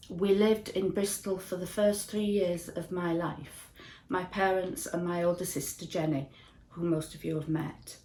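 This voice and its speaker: At a moderate pace and fairly low pitch, a woman with a Yorkshire accent speaks in a dark, mellow, somewhat breathy tone with fairly even intonation. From northern England, Ossett, West Yorkshire. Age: 60s. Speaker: church member. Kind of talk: testimony.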